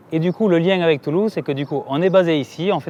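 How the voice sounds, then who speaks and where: This man has a fairly high-pitched voice. He talks at a fairly quick pace with fairly even intonation. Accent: southern French. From southern France, Aveyron. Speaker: entrepreneur. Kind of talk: interview monologue.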